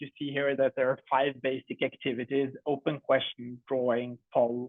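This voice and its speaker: A fairly high-pitched man's voice with a Norwegian accent. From Norway. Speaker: edtech company co-founder. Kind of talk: product presentation.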